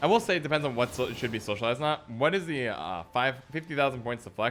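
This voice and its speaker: Speaking very fast, a man delivers his words with lively intonation. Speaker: gaming streamer. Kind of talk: live stream commentary with chat. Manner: casual, conversational.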